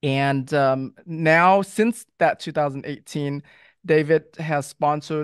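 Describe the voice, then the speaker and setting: The man's intonation stays fairly even, and the background is quiet. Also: dry sound with no echo. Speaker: podcast host. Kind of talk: show intro reading guest bio. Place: studio. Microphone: studio mic.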